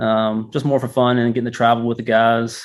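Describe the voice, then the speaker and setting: A man speaks at a moderate pace with a North Carolina accent. His intonation is flat and monotone. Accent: Southern US, North Carolina. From northeast North Carolina, Murfreesboro. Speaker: physical therapist, golf fitness business owner. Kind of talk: interview. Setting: golf learning center. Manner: casual, many fillers.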